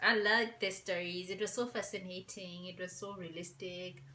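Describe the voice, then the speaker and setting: A woman speaks quietly. Her pitch is medium. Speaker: vlogger. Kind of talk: casual chat. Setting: at home.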